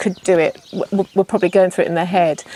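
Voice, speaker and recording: In an English accent, a woman speaks at a medium pitch with a dark, mellow tone. Her intonation is monotone and flat, and the sound is dry and close with no echo. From England. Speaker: yoga teacher trainee. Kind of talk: testimonial interview. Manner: hesitant, many fillers.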